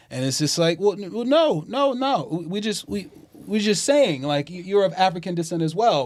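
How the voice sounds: Here a man speaks at a moderate pace. The variation in his pitch is ordinary.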